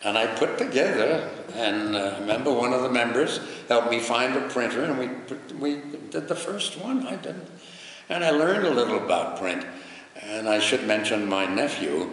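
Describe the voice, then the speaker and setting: Speaking with an American accent, a man talks at a moderate pace against noticeable background noise and audible room echo. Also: medium pitch for a man, lively intonation. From New York. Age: 90s. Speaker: retired broadcaster and charity volunteer. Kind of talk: interview.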